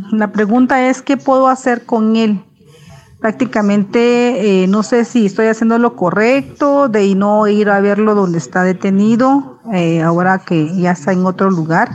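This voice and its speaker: At a fairly slow pace, a woman speaks at medium pitch with lively intonation and very even loudness. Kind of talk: recorded viewer question.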